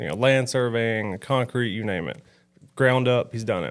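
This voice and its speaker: The speaker talks at a moderate pace with fairly even intonation in a Southern US accent. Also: man. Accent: Southern twang. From US South, northern Alabama. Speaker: roofing site supervisor. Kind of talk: casual interview.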